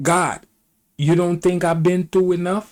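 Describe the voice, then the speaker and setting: The speaker is a man. His voice is pitched high. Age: 60s. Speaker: video commentator. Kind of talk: opinion commentary reacting to clips.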